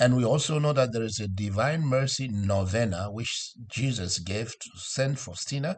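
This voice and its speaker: A man's somewhat breathy, medium-pitched voice with a non-native accent, fairly slow and with lively intonation, against a quiet background. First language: not English. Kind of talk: sermon. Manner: halting, with fillers.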